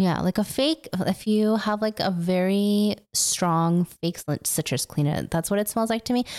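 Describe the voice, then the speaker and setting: A woman's medium-pitched, animated, playful voice with ordinary pitch variation, at a fairly slow pace with hardly any pauses, dry and close with no echo in a very clean recording against a silent background. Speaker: podcast host. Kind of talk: casual chat.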